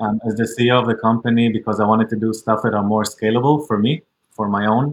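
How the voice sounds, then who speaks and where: Here a man is speaking. His pitch is medium. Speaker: startup founder. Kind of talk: casual interview. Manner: halting, filler-heavy.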